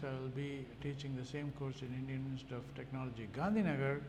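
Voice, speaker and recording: Amid noticeable background noise and audible room echo, a man talks at a fairly quick pace with fairly even intonation. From India. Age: 70s. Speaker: microbiologist. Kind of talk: interview. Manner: halting, many fillers.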